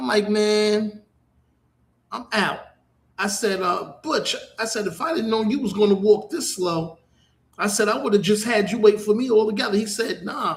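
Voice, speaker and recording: A man with a New York accent speaks high for a man at a moderate pace, with ordinary pitch variation and long, frequent pauses. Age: 60s. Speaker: internet radio host. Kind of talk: casual monologue.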